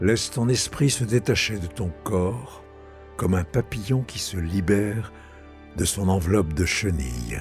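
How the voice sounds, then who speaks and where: A man's very deep, low voice at a fairly slow pace, with lively intonation, long, frequent pauses and music in the background. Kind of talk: guided meditation. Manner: slow, soothing.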